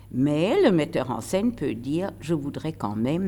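With vocal fry and a very deep, low pitch, a woman speaks at a very slow pace. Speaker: retired stage actress. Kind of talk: interview. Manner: animated.

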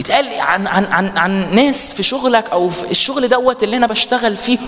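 Noticeable background noise accompanies a man speaking at a moderate pace. His pitch is high and his intonation lively. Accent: Egyptian. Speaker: preacher. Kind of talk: sermon.

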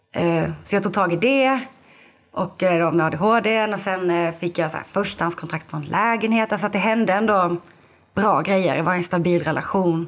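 At a moderate pace, a woman uses an ordinary speaking voice, her medium pitch showing ordinary pitch variation. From southern Sweden, Lund. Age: 20s. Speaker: podcast guest, recovering alcoholic. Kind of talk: casual interview, personal testimony.

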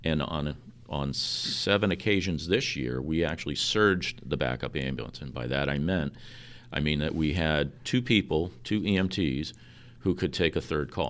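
An American accent, vocal fry and a very deep, low pitch mark this man's voice. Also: moderate pace. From New York. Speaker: ambulance service director. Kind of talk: interview. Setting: ambulance facility.

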